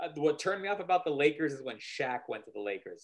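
A man with an American accent speaks at a fairly quick pace and a fairly high pitch. The background is quiet. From El Paso, Texas; Texas. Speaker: lawyer and podcast co-host; lawyer, podcast co-host. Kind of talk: casual chat. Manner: halting, repeats words. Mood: relaxed, reminiscing. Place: home room. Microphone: video call.

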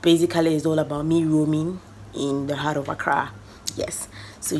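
Light background noise sits behind a woman's voice. She has a very deep, low pitch and a moderate pace. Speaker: vlogger. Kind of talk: casual vlog chat. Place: home room. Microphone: phone near.

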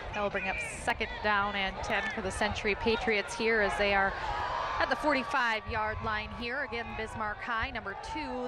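Loud background noise surrounds a woman speaking at a moderate pace. The sound is dry, with no echo. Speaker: play-by-play announcer. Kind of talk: live sports commentary. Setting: TV broadcast.

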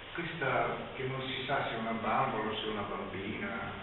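Amid loud background noise and audible room echo, the speech moves at a very slow pace. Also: man. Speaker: presenter. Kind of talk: public talk. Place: classroom. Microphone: camera far.

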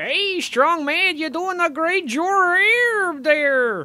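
In a cartoonish character voice, a man speaks at a very slow pace with an extremely high pitch. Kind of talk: comic cartoon voice. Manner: greedy, goofy, exclamatory.

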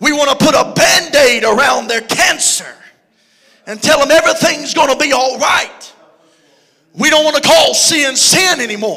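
A man with a Southern US accent speaks in a raised, projected voice at an extremely high pitch, with an animated tone and ordinary pitch variation. His pace is moderate with long, frequent pauses, and the background is quiet. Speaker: preacher. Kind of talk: sermon. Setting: church. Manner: animated, preaching with call-and-response energy; conversational and joking. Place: church. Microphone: handheld.

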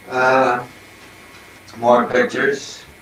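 Light background noise and audible room echo surround this man's voice. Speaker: acting teacher. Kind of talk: casual home tour talk with puppet demonstration. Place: home room.

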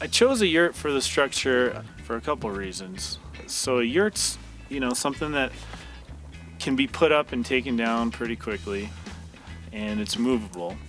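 A man speaks at a moderate pace, leaving long, frequent pauses. The sound is dry with no echo, and faint music plays in the background. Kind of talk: interview answer. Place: open country.

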